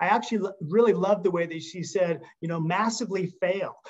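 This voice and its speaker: Over a quiet background, a man talks at a fairly quick pace in a high pitch. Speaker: company executive; presenter or coach. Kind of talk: closing remarks. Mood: upbeat, joking. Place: home room. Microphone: video call.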